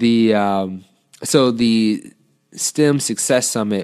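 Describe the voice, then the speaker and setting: A man's fairly low voice, a normal speaking voice with an American accent, on a very clean recording with a silent background. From Detroit area, Michigan. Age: 20s. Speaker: author and engineering PhD student. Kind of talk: interview conversation.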